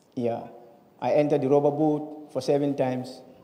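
A man's voice with audible room echo. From Gambia. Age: 20s. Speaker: migrant and torture survivor. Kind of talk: testimony. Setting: stage with audience. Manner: halting. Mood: solemn, recounting hardship. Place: hall. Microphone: handheld.

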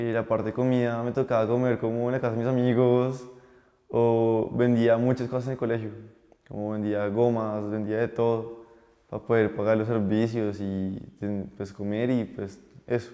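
A man's medium-pitched, monotone, flat delivery at a moderate pace against a quiet background. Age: 20s. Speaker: young entrepreneur and chef; guest. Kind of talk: interview testimony. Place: studio. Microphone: lapel.

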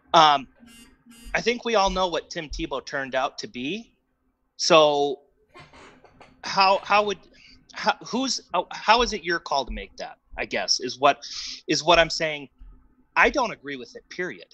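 A man with a high, bright, sharp voice speaks in an American accent, projecting loudly with lively intonation and big swings in loudness. His pace is fairly slow with long, frequent pauses, and the sound is dry and close with no echo against a quiet background. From US Midwest, Wisconsin. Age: 30s. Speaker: pro-life advocate. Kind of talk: casual debate interview.

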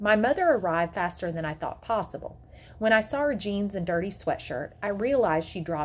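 Lively intonation in a natural reading voice

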